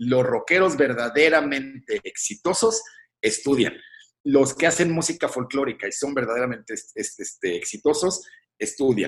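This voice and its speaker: This man has an ordinary speaking voice with fairly high pitch. He talks at a moderate pace. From Mexico. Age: 40s. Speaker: composer and musician. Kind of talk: interview.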